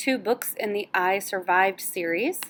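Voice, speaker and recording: A woman sounds enthusiastic. Her pitch is medium, with ordinary pitch variation. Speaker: school librarian. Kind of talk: book announcements for students.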